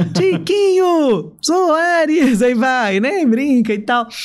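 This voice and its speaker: The speaker sounds enthusiastic, with very wide pitch swings. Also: woman. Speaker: stadium announcer. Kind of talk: podcast interview answer. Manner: enthusiastic, chatty.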